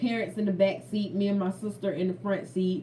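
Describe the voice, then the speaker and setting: Her pitch is medium for a woman, and her tone is animated. Background noise is noticeable. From Florida. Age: 30s. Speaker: food vlogger. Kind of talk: casual chat; testimony.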